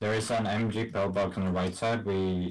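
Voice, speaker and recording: Over light background noise, a man speaks in a very deep, low pitch with fairly even intonation. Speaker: game streamer. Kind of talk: casual gaming commentary to teammates. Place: home room.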